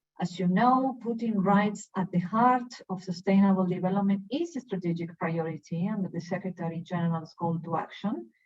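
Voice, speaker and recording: A woman talks at a moderate pace with a Spanish accent and hardly any pauses. Her pitch is medium, with ordinary variation. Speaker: UN human rights officer. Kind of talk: webinar presentation.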